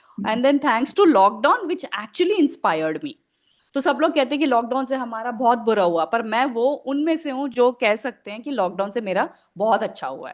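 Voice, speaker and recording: Very wide pitch swings and big swings in loudness from a woman with a high voice, at a moderate pace over a quiet background. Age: 40s. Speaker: writer and editor. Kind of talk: podcast interview answer.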